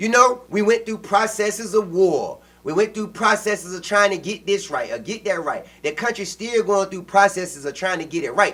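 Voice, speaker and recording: Loud and passionate, a man speaks at a moderate pace in a high pitch with ordinary pitch variation and hardly any pauses. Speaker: podcast co-host. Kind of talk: casual political discussion. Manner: loud, passionate.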